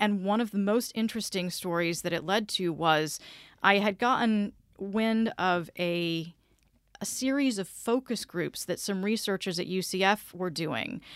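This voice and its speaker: A woman with an unremarkable speaking voice and an American accent talks fairly slowly at medium pitch with ordinary pitch variation, in a very clean recording against a silent background. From US South, south Georgia (Vidalia). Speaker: public radio station manager. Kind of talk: interview. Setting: studio.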